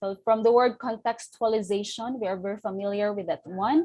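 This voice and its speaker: A woman speaks with a Filipino accent at a moderate pace. Her tone is dark and mellow. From Philippines. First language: Filipino language. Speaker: teacher trainer. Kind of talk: lecture.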